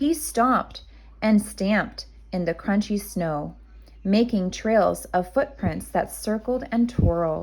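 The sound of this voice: An unforced reading voice carries ordinary pitch variation.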